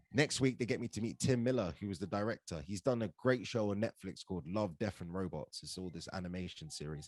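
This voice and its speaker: With hardly any pauses, a man rushes along at a very fast pace, his fairly low voice carrying lively intonation in a dry, close sound with no echo. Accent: London. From England, London. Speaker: actor and stand-up comedian. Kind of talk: casual podcast interview. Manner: animated storytelling.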